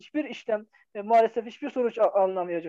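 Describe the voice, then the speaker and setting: A man's dark, mellow voice at a very fast pace, with ordinary pitch variation. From eastern Turkey (Hakkari, Van). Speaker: educator and writer. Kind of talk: interview.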